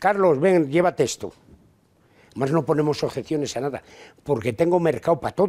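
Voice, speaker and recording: A man with a dark, mellow tone talks at a fairly quick pace with ordinary pitch variation, broken by long, frequent pauses. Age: 80s+. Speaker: volunteer charity worker. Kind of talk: interview. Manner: halting.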